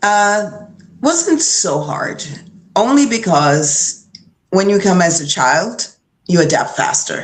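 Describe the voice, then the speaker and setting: A somewhat breathy woman speaks at medium pitch and a very slow pace, her pitch swinging very widely between long, frequent pauses. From Jamaica, moved to Brooklyn at eleven. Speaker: retired boxer. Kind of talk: interview.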